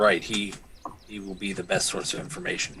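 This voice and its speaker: Putting on a character voice, a man talks at a fairly quick pace in a raspy, fairly low-pitched voice. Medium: actual play. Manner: formal, earnest.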